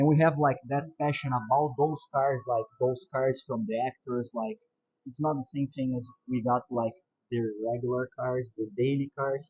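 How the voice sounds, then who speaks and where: This man speaks in a Portuguese accent at a medium pitch. His voice is somewhat breathy and his intonation fairly even. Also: moderate pace. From Brazil. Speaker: car enthusiast and YouTuber. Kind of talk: casual video introduction.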